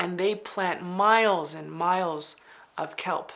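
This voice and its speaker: This is a normal speaking voice, a woman's, pitched fairly low. She speaks with an American accent and fairly even intonation. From Navajo Nation, US Southwest. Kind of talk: interview talk.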